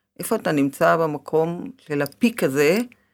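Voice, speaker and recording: On a very clean recording with a silent background, a woman with a very deep, low voice speaks with lively intonation. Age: middle-aged. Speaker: life coach and podcast host. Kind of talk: interview.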